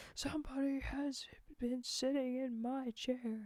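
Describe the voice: In a put-on character voice, a woman speaks with a high pitch at a fairly slow pace.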